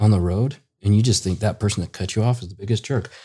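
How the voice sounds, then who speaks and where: On a very clean recording with a silent background, a man speaks with a dark, mellow, somewhat breathy tone at a fairly low pitch with ordinary variation. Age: 30s. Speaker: children's book author. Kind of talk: casual interview.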